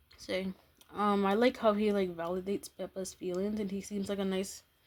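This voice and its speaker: Soft-spoken, a woman delivers her words at a medium pitch in a monotone, flat intonation. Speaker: YouTuber. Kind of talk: casual vlog commentary. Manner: halting.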